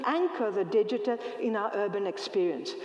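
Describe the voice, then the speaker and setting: Clearly audible background noise beneath speech at a moderate tempo. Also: woman. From Greece. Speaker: professor and design researcher. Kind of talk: lecture.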